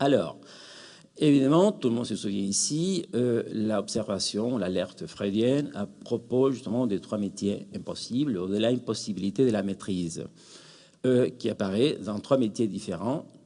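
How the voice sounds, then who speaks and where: A man's fairly slow, lively-sounding speech in a Spanish accent, dark and mellow in tone. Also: medium pitch for a man. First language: Spanish (speaking French). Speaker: academic, psychoanalysis in education. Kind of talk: conference closing remarks. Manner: hesitant, many fillers.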